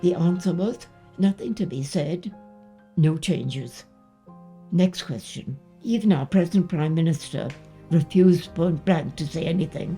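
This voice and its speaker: A woman speaks at a fairly slow pace and a fairly low pitch. She leaves long, frequent pauses while music plays in the background. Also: ordinary pitch variation. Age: 80s+. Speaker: war veteran. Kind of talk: personal testimony to camera.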